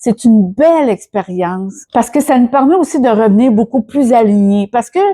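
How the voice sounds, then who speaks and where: A woman with a Quebec accent, fairly high in pitch, dark and mellow in tone with ordinary pitch variation, in dry, close sound with no echo. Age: 60s. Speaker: personal development YouTuber. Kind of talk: casual vlog. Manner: hesitant, many fillers and repetitions.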